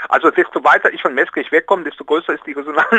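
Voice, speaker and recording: A man is heard in a dry, close sound with no echo. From Rhineland, Aachen. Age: 60s. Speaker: project initiator. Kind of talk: interview.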